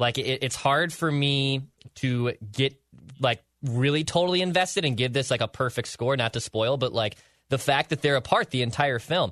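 This man has an unremarkable speaking voice, medium in pitch with ordinary pitch variation, very even loudness and a moderate pace. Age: 20s. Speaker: podcast co-host. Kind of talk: casual chat.

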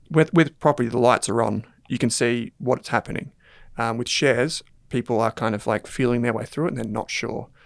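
A man speaks with an Australian accent at a fairly quick pace. His pitch is medium with ordinary variation, and the sound is dry and close with no echo. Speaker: finance podcast host and company founder. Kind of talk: casual debate discussion.

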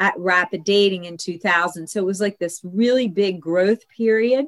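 At a moderate pace and medium pitch, a woman talks in a normal speaking voice with fairly even intonation, the sound dry and close with no echo. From US, Italian-American family. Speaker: matchmaker. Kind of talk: interview.

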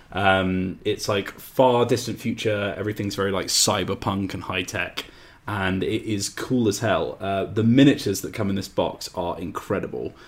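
A man talks in an ordinary speaking voice at a fairly low pitch and moderate pace. He uses fairly even intonation and hardly any pauses. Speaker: podcast co-host, tabletop games writer. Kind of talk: casual chat.

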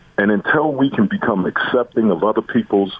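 Noticeable background noise fills the space around a man. He talks in an American accent. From US East Coast, Baltimore. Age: 50s. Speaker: college football coach. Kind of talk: radio interview. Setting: phone call. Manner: halting.

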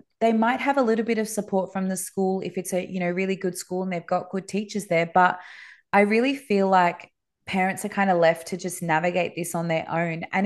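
A woman with an Australian accent talks at a moderate pace against a quiet background. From Dubai, moved to Sydney around grade six. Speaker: Montessori school owner and educator. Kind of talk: interview conversation.

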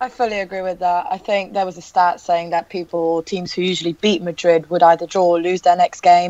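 Moving at a fairly quick pace with hardly any pauses, a woman speaks with fairly low pitch and monotone, flat intonation. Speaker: football vlogger. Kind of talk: panel discussion, casual football chat.

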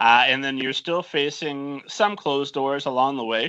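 An ordinary speaking voice belongs to this man, fairly high in pitch with ordinary pitch variation. He speaks at a fairly slow pace. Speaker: podcast host. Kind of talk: casual interview chat.

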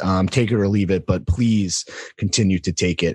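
A man is speaking. The background is quiet. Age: 30s. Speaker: podcast host. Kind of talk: ad read. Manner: animated.

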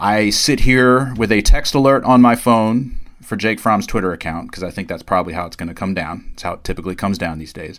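A man with an ordinary speaking voice talks fairly quickly at a fairly low pitch, with big swings in loudness. The recording is very clean with a silent background. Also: ordinary pitch variation. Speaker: podcast host, sports reporter. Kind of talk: casual sports podcast discussion.

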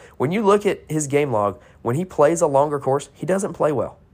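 A man with an American accent talks at a fairly quick pace and a fairly high pitch, with lively intonation. He has an unremarkable speaking voice. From North Carolina. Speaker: sports betting podcaster. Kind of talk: solo podcast preview. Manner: casual, filler-heavy.

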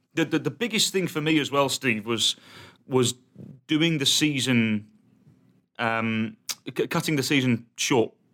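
Speaking with a British accent, a man uses a medium pitch and a bright, sharp tone at a fairly slow pace, with ordinary pitch variation and long, frequent pauses. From England. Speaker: soccer podcast co-host. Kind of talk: casual chat.

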